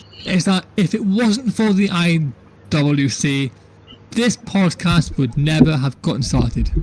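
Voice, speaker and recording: A man with a high pitch and lively intonation speaks over noticeable background noise. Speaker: wrestling podcast co-host. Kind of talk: casual chat. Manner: halting, repeats words, uneven pacing.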